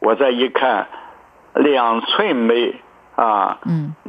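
This man's pitch is medium. His pace is very slow. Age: 80s. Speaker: Chinese medicine doctor. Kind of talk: radio interview. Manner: halting, many fillers.

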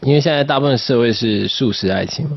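A man is heard over noticeable background noise. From southern Taiwan. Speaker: singer-songwriter. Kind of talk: radio interview.

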